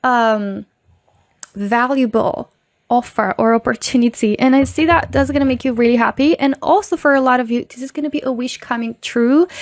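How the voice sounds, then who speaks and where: A high-pitched woman's voice with a non-native accent, at a moderate pace with ordinary pitch variation, in a dry, close sound with no echo. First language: not English. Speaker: tarot reader. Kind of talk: pick-a-card tarot reading. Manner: casual, filler-heavy.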